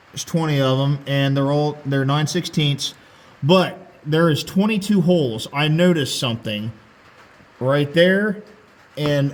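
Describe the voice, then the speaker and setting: Noticeable background noise surrounds speech whose pitch varies in an ordinary way. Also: man. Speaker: tractor restoration vlogger. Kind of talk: casual how-to vlog. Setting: under a tractor in a garage. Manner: loud, talking over rain.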